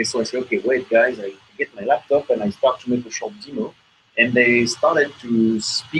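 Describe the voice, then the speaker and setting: A man with a French accent speaks at a moderate pace, his medium pitch showing ordinary variation. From France. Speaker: software engineer presenting at tech meetup. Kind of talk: tech talk presentation. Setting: meetup room with audience, broadcast on hangout.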